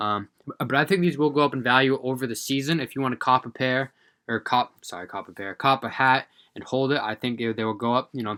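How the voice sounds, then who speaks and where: A man talks very fast with a bright, sharp tone, medium pitch and ordinary pitch variation. The sound is dry and close with no echo, on a very clean recording against a silent background. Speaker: sneaker and streetwear reseller YouTuber. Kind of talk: casual product review commentary. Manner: casual with many filler words.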